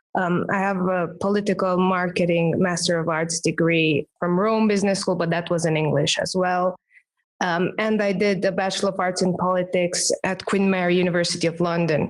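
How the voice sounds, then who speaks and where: A woman with a Romanian accent speaks at a moderate pace and medium pitch, in a monotone, flat intonation with very even loudness, on a very clean recording with a silent background. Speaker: branding expert and professional speaker. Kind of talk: podcast interview.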